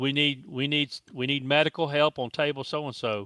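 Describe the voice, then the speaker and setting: Bright and sharp in tone, a man talks with a Southern US accent. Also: quiet background. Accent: US South. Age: 60s. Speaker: foosball tournament promoter. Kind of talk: casual chat.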